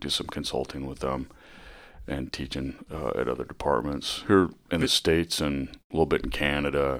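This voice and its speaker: A man with an American accent speaks at a moderate pace in a very deep, low voice with vocal fry and fairly even intonation. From US Midwest, northwest Iowa. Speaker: police chief. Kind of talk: interview. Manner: hesitant, many fillers.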